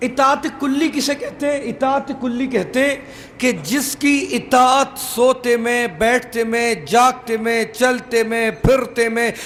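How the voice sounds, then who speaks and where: Speaking at a very slow pace, a man with an extremely high pitch for a man comes through over noticeable background noise. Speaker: Shia cleric giving a Muharram majlis sermon. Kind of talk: sermon. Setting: religious gathering with audience. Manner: formal.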